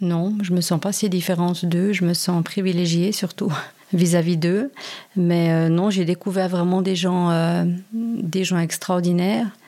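Her voice is fairly low in pitch with a dark, mellow tone. The woman speaks at a fairly slow pace with fairly even intonation and very even loudness. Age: 40s. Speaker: volunteer with migrants. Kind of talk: interview.

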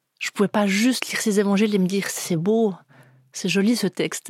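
Very clean recording with a silent background: a woman at medium pitch and a fairly quick pace, in a dry, close sound with no echo. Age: 40s. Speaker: guest telling her faith story. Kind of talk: testimony. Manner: halting, with repeated words.

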